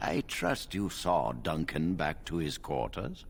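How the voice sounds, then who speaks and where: A man puts on a character voice, very deep and low, at a fairly slow pace. Clear background noise is present. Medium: video game. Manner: measured, authoritative.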